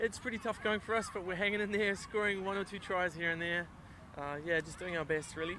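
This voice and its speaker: A man's raised, projected, high voice, fairly quick, with fairly even intonation. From New Zealand. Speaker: amateur touch rugby player and club organiser. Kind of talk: sideline interview.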